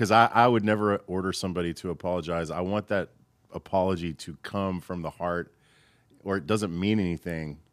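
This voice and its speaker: Over a very clean recording with a silent background and a dry, close sound with no echo, a man with a very deep, low pitch talks at a fairly quick pace with fairly even intonation. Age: 40s. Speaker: audio engineer and producer. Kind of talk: casual chat. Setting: studio.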